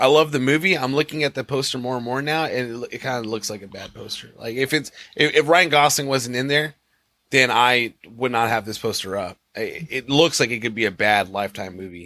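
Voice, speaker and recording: A man speaks in a bright, sharp tone. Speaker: podcast co-host. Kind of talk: casual chat. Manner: laughs often.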